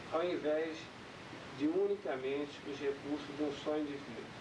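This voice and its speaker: A man talks at a fairly high pitch. Noticeable background noise and audible room echo surround his voice. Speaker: speaker presenting a spiritual organization's goals. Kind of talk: formal presentation at a founding ceremony. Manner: slow.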